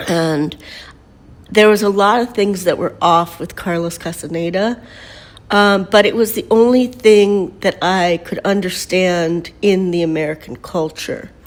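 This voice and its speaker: At a fairly slow pace, a woman talks with ordinary pitch variation. Her pitch is medium. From Mexico until age nine, then United States. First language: Spanish. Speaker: painter and spiritual teacher. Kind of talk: personal storytelling monologue. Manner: casual, with many fillers.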